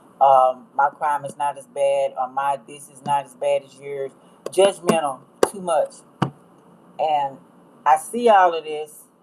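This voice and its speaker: A woman with a very deep, low pitch speaks at a fairly slow pace, her loudness swinging widely. There are long, frequent pauses and noticeable background noise. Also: ordinary pitch variation. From US, rural. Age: 60s. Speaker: astrology tarot reader. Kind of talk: livestream talk. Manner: casual, rambling.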